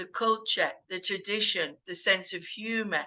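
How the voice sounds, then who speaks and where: A woman's bright, sharp tone with a strong northern English accent, medium pitch, fairly even intonation, moderate pace and a quiet background. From northern England. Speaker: English teacher. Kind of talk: casual group discussion.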